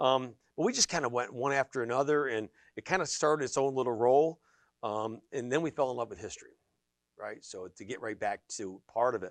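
This is a normal speaking voice: a man with an American accent at medium pitch. The sound is dry and close with no echo, and the background is quiet. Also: ordinary pitch variation, big swings in loudness. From western Pennsylvania (Sharon area). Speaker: energy business owner and property developer. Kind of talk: interview. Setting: studio.

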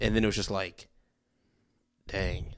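A man talking at a very fast pace. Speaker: podcast co-host. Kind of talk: casual chat. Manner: joking, chatty.

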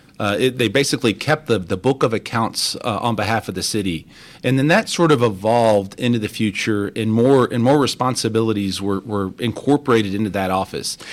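Over a silent background in a very clean recording, a man with an American accent talks at a very fast pace, medium in pitch with ordinary pitch variation. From Texas (Crosby, Houston area) and Mexico. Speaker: deputy city controller. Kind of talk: radio interview.

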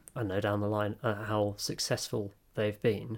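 This is a man with a British accent. His pitch sits fairly low. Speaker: podcast co-host. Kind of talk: casual chat.

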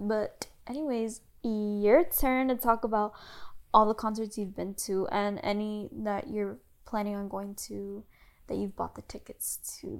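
Recorded very cleanly against a silent background, a woman speaks at a fairly slow pace with big swings in loudness. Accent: American. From US South. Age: 20s. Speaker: podcast host, college student. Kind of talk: casual chat.

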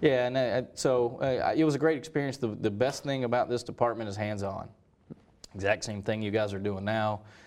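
The man talks fairly quickly at a medium pitch, his pitch varying in an ordinary way. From North Carolina, Hendersonville. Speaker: sports broadcaster, university athletics media director. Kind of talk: interview. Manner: halting, many fillers.

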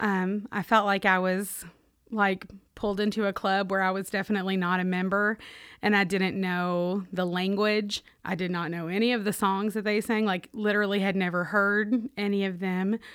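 In a very clean recording with a silent background, a woman with a Kentucky accent speaks at a moderate pace and medium pitch with monotone, flat intonation. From US South, Owensboro, Kentucky. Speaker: Salvation Army officer. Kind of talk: interview testimony.

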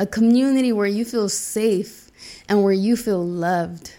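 A normal speaking voice from a woman, fairly high in pitch, with fairly even intonation at a moderate pace on a very clean recording with a silent background. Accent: American. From US South, Charlotte, North Carolina. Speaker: podcast host. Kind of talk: personal storytelling monologue.

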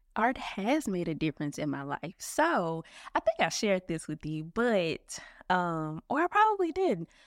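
With very wide pitch swings around a medium pitch, a woman speaks at a moderate pace in a very clean recording, dry and close with no echo and a silent background. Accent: Memphis. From Memphis, Tennessee. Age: 30s. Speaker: operations manager. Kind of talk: casual interview.

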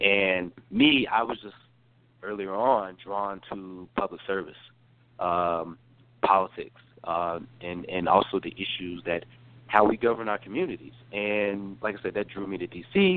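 A man speaks with a slight Southern US accent, at a fairly low pitch and a fairly slow pace. His intonation stays fairly even while his loudness swings widely. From North Carolina. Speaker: former congressional staffer. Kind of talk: interview. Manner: halting, many fillers and repeated words.

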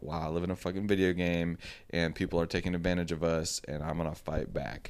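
A man speaks in a very clean recording, the background silent. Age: 30s. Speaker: podcast co-host. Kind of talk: casual chat. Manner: animated.

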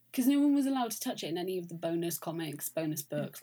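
Her voice, a woman's, is somewhat breathy. A dark, mellow tone colors it. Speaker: podcast host. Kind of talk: casual chat. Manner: chatty, hesitant fillers.

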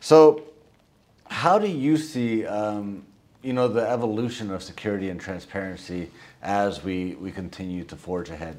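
At a moderate pace, a normal speaking voice moves with lively intonation and big swings in loudness. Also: man, fairly low pitch for a man. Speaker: podcast host. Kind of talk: interview conversation.

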